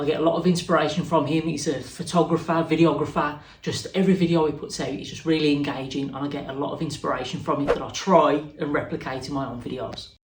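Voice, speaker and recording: Against audible room echo, a man talks at a very fast pace with hardly any pauses, his fairly high pitch held in fairly even intonation. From Wolverhampton, West Midlands, England. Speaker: woodworker and YouTuber. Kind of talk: interview answers. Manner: casual, conversational.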